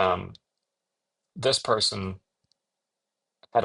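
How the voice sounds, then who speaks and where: This man speaks with a non-native accent. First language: not English. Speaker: video commentator. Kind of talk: commentary reading quotes. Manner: conversational with hesitations and repetitions.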